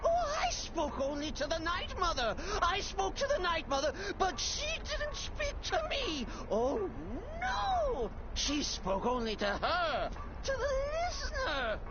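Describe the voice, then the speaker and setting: Loud background noise accompanies a cartoonish character voice moving at a fairly slow pace. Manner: theatrical, erratic.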